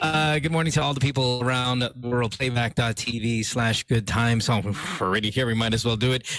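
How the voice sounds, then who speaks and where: A man speaks at medium pitch and a fairly quick pace, with hardly any pauses. His intonation is fairly even, his loudness very even, and there is noticeable background noise. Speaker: radio host. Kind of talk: casual chat. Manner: fast.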